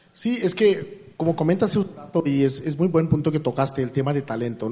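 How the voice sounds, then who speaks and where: At a moderate pace, a man talks in a somewhat breathy, fairly high voice with ordinary pitch variation. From India. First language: not Spanish (from India) (speaking Spanish). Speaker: artificial intelligence engineer. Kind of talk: interview. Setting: live event with audience. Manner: halting.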